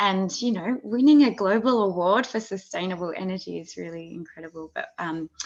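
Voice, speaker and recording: A woman's medium-pitched voice with an Australian accent, lively intonation and a moderate pace. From Tasmania, Australia. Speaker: interviewer for an activist group. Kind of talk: interview. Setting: video call. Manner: hesitant, many fillers.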